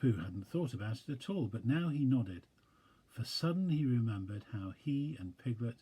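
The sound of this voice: Intonation rises and falls in a lively way. This is an unforced reading voice.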